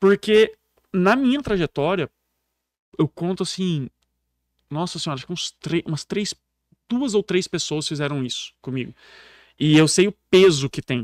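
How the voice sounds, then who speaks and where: A man with a rural São Paulo accent speaks at a high pitch with lively intonation and an animated tone, his loudness swinging widely and his long pauses coming often, in a very clean, silent, dry and close recording with no echo. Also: moderate pace. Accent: Brazilian countryside caipira. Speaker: public speaking coach. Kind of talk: podcast interview.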